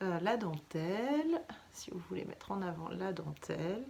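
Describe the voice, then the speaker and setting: Soft-spoken and with vocal fry, a woman talks at a fairly slow pace with lively intonation. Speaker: knitting vlogger. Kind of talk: casual vlog chat. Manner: hesitant, many fillers.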